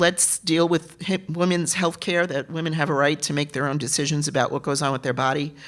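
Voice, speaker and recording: A woman with a New York accent speaks at a fairly quick pace with hardly any pauses, her very deep, low voice keeping a fairly even intonation. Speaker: political candidate. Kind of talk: candidate forum answers. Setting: theater forum.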